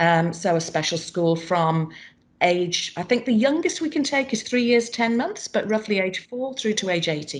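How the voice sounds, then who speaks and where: A woman with a British accent speaks with very wide pitch swings. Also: medium pitch for a woman, moderate pace. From England. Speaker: special school principal. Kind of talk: seminar panel discussion.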